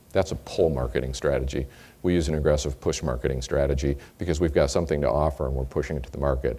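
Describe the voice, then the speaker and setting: A man with a very deep, low pitch and a dark, mellow tone speaks at a very fast pace with vocal fry, in an American accent. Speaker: company executive. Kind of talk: sales kickoff speech.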